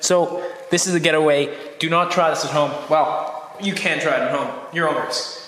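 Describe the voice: With audible room echo behind him, a man speaks at a moderate pace with a fairly high, raspy voice, a fairly bright tone and ordinary pitch variation.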